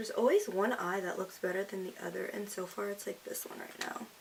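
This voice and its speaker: A woman talks fairly quickly while noticeable background noise carries on behind her. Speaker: beauty vlogger. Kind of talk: makeup tutorial. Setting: at home in front of camera.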